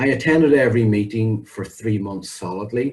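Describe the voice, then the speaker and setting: Somewhat breathy speech from a man, dark and mellow in tone, with ordinary pitch variation. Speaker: public speaking club member. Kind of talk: prepared speech. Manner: clear and well-paused.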